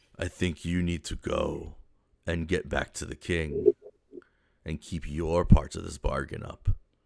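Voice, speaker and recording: A raspy, put-on character voice talks at a fairly slow pace. Long pauses come often. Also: man, very deep, low pitch for a man. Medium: actual play. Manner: gruff, impatient.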